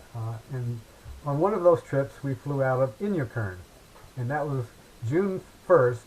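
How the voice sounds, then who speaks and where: Over noticeable background noise, the speaker uses lively intonation at a fairly slow pace with long, frequent pauses. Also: man, medium pitch for a man. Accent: American. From US Midwest. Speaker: glider pilot. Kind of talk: casual storytelling. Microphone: too quiet, unsure where mic is.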